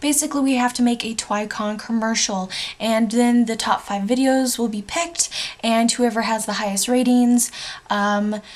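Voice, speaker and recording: A plain, everyday voice from a woman, fairly high in pitch, at a fairly slow pace with fairly even intonation. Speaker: book vlogger. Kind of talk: casual vlog review.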